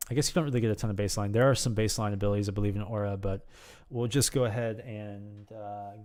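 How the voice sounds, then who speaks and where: The delivery moves at a fairly quick pace with fairly even intonation. The background is quiet. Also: man. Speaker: gaming video creator. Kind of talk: tutorial. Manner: fast; hesitant, many fillers. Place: home room. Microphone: studio mic.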